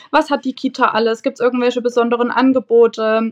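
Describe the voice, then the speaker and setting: Against a quiet background, a woman's high-pitched voice holds a monotone, flat intonation in a dry, close sound with no echo. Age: 20s. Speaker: nursery teacher. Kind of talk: casual interview.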